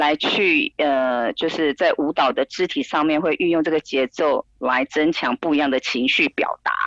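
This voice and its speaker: At a moderate pace and with hardly any pauses, a woman speaks in a very deep, low voice with ordinary pitch variation and very even loudness, recorded with a dry, close sound and no echo. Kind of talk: interview. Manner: hesitant, many fillers.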